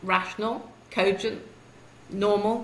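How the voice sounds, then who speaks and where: A woman speaks with a British accent. Noticeable background noise can be heard. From UK. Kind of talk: interview answer.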